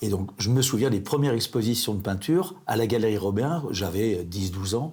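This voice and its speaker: A man talks at a moderate pace in a fairly low, somewhat breathy voice. His pitch varies in an ordinary way. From France, Vendée. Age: 70s. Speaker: retired printer, art collector. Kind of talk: interview. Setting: at his home. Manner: halting.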